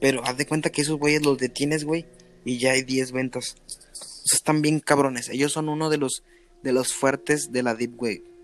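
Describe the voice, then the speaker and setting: At a moderate pace, a man with a fairly high pitch delivers his words in monotone, flat intonation. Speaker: podcast host. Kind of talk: casual chat.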